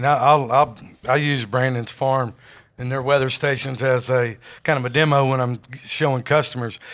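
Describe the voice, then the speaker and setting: A man's medium-pitched voice with a Southern US accent, monotone and flat, at a moderate pace. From Jonesboro, Arkansas. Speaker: sales executive. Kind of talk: podcast interview.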